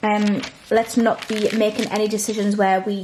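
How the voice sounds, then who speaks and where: A woman with a British accent talks at a moderate pace over light background noise. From UK. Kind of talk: Bible study vlog. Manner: casual. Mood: calm, earnest. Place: home room.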